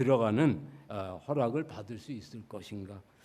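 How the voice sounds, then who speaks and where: The speaker is a man. His tone is dark and mellow. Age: 60s. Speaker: church elder. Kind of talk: sermon.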